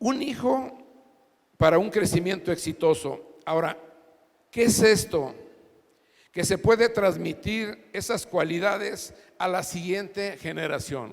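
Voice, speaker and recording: At a very slow pace with long, frequent pauses, a man speaks in a high pitch with lively intonation. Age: 60s. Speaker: pastor. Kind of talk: sermon.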